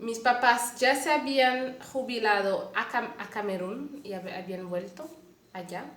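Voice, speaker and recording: A woman with a Mexican accent and lively intonation, amid noticeable background noise and audible room echo. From Canada, Montreal. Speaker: lay missionary. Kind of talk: testimony. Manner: halting.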